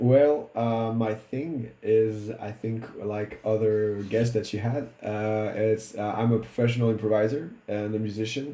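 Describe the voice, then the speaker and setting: Speaking at a fairly slow pace with hardly any pauses, a man keeps a medium pitch and fairly even intonation. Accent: French. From Réunion Island. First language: French. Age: 30s. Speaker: improviser and musician. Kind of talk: casual chat. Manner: halting, many fillers and restarts.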